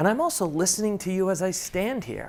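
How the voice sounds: This man's voice sits at a fairly high pitch and shows vocal fry.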